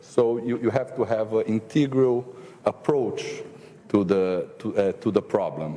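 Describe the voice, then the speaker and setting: A man with a medium-pitched voice talks at a fairly slow pace over noticeable background noise. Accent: Portuguese. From Brazil. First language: Portuguese. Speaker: government minister and economist. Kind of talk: panel discussion. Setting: forum panel with audience. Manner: halting, many repetitions and fillers.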